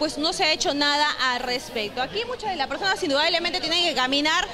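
Over crowd noise in the background, a woman speaks in a raised, projected voice with lively intonation at a fairly quick pace. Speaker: TV field reporter. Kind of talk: live news report. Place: street. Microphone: handheld.

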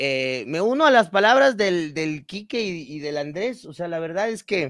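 A man talks at a fairly slow pace with very wide pitch swings, in a dry sound with no echo and a quiet background. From Ecuador. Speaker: podcast co-host. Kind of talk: casual chat. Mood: warm, friendly. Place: home room. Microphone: video call.

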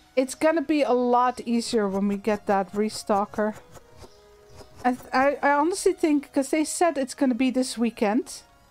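A woman's high voice with lively intonation at a moderate pace, music in the background. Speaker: gaming streamer. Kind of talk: casual chat. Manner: rolled L.

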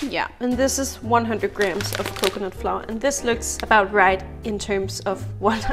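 A woman at a moderate pace with hardly any pauses, clear music in the background. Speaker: home cook vlogger. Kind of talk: casual cooking tutorial. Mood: relaxed, cheerful. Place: kitchen. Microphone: phone near.

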